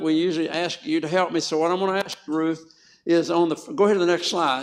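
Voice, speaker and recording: A man talks with a strong Southern US accent. His pace is very fast. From US South. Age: 80s+. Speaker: health educator. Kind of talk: health talk to a church audience. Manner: animated.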